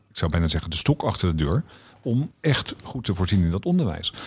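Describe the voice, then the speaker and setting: This man's voice is somewhat breathy. He speaks at a moderate pace with very wide pitch swings. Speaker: director of a democracy education foundation. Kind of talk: podcast interview.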